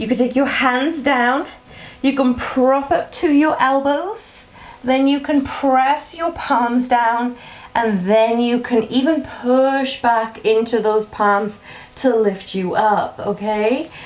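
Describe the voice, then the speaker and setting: A very slow delivery with ordinary pitch variation over noticeable background noise. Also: woman, high pitch for a woman. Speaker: fitness instructor. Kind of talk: workout instruction. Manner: encouraging, instructive.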